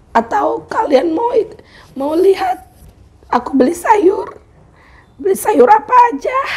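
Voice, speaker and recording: A woman speaks at an extremely high pitch, her voice swinging very widely up and down. She talks very slowly with long, frequent pauses over noticeable background noise. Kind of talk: casual vlog talk to camera.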